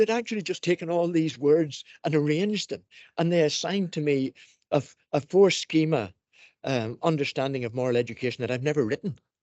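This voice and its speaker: This man has an unremarkable speaking voice, pitched fairly high. He moves at a fairly quick pace with lively intonation. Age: 60s. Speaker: education professor. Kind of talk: panel discussion.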